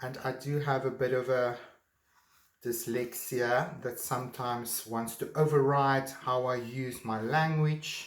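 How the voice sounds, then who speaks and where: In a room with audible echo, a man with a non-native accent speaks fairly slowly at a medium pitch, his intonation monotone and flat. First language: not English. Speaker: art teacher. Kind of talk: tutorial. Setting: home art studio. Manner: halting.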